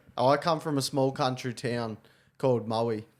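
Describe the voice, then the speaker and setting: With an Australian accent, a man talks at a medium pitch and with ordinary pitch variation, captured on a very clean recording against a silent background. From Victoria, Australia (Gippsland). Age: 20s. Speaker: podcast co-host. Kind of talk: casual chat.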